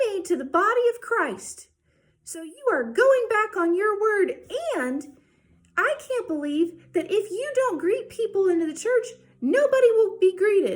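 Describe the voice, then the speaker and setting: A woman uses a put-on character voice at an extremely high pitch. She sounds angry and speaks at a fairly slow pace. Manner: angry, horrible.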